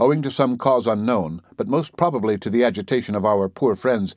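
An ordinary speaking voice at a fairly quick pace with lively intonation, on a very clean recording with a silent background. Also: man. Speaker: audiobook narrator. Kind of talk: dramatic narration of a 19th-century sea adventure, read aloud as an audiobook. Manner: solemn, measured, and suspenseful, with grave, storytelling urgency.

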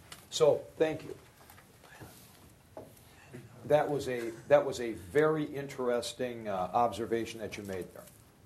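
A man speaks at a very slow pace, his loudness swinging a lot. The room echo is audible. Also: medium pitch for a man, ordinary pitch variation. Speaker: college professor. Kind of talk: lecture.

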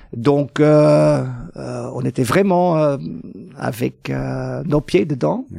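This man's voice has a dark, mellow tone and a fairly high pitch, recorded with a dry, close sound and no echo. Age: 60s. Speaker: mathematics professor. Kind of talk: interview. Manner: halting, many repetitions and hesitations.

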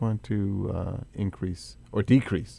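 A man with an American accent speaks at a fairly low pitch in a dark, mellow tone. The recording is very clean with a silent background. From Atlantic City, New Jersey. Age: 50s. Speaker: radio host. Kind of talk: radio interview. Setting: radio studio.

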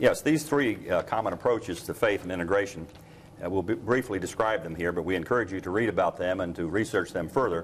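With an American accent, a man talks at a very fast pace in a fairly low pitch, his intonation lively. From Ohio. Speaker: professor. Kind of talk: instructional course video. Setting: campus prayer chapel. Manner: halting, many fillers.

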